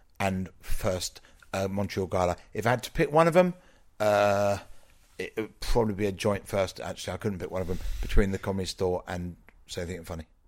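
A man with an unremarkable speaking voice shows ordinary pitch variation and big swings in loudness in a very clean recording with a silent background. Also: fairly low pitch for a man, fairly quick pace. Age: 40s. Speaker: comedian. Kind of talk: interview. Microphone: too close to mouth, clipping.

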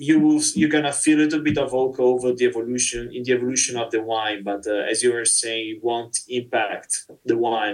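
A man's medium-pitched voice with an Italian accent, monotone and flat, at a moderate pace. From Italy, Verona. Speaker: winery export manager. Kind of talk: interview.

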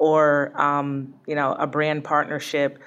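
Over a quiet background, a woman with an American accent speaks in a very deep, low pitch. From Connecticut. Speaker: sports team executive. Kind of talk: interview.

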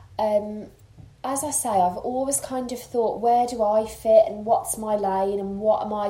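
A woman speaks at a moderate pace in a Birmingham accent with ordinary pitch variation. Background noise is noticeable. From Birmingham, England. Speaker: makeup artist and blogger. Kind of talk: casual interview chat. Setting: host's home.

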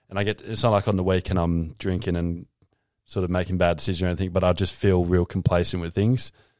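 On a very clean recording with a silent background, a man speaks in an Australian accent at a very fast pace. His pitch is very deep and low, his intonation monotone and flat. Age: 20s. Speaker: podcast guest. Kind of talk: casual chat.

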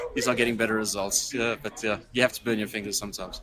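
Over noticeable background noise, a man speaks very fast at a medium pitch in a monotone, flat intonation. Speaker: software developer and conference speaker. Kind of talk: casual interview.

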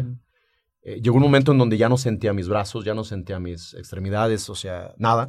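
At a fairly quick pace, a man with a medium pitch and ordinary pitch variation speaks in a plain, everyday voice over a quiet background. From Mexico, Aguascalientes (Rincón de Romos). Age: 40s. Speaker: entrepreneur, mechanical engineer. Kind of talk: interview testimony.

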